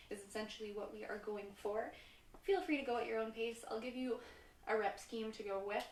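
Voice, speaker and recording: This woman speaks with a Canadian accent at a fairly quick pace and a fairly high pitch, with ordinary pitch variation. Audible room echo and noticeable background noise fill the recording. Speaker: fitness instructor. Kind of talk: live-streamed fitness class instruction. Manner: energetic, sometimes fast.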